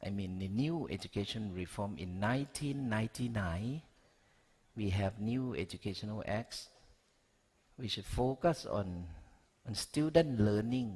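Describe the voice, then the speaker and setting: Speaking fairly slowly with long, frequent pauses, a man in a Thai accent has a fairly low, somewhat breathy voice and lively intonation. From Thailand. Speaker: education researcher. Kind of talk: conference talk. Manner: halting.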